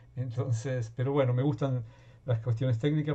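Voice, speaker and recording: Speaking at a very fast pace, a man uses a medium-pitched, somewhat breathy voice. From Argentina. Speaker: workshop participant. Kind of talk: self-introduction.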